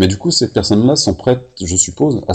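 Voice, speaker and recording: A man with a somewhat breathy voice talks at a fairly quick pace, using ordinary pitch variation. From Paris. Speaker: podcast host. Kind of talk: interview.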